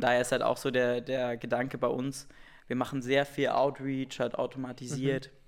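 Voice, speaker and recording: A man with an ordinary speaking voice talks at a medium pitch in a very clean recording with a silent background. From Saxony-Anhalt, eastern Germany (Wittenberg). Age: 20s. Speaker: startup founder. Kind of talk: interview.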